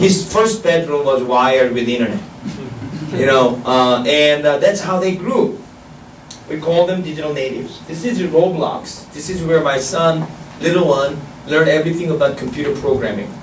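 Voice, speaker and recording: A man with a Korean accent and a fairly high pitch, at a moderate pace with ordinary pitch variation, amid noticeable background noise and audible room echo. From South Korea. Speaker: professor. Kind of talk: lecture. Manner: halting.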